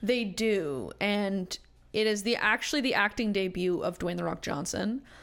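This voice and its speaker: With a plain, everyday voice, a woman speaks at medium pitch and a moderate pace with ordinary pitch variation. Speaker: podcast guest, film fan. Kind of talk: casual chat.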